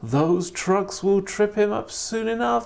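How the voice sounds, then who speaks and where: This is a put-on character voice at a middle pitch. It moves at a fairly slow pace. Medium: read story.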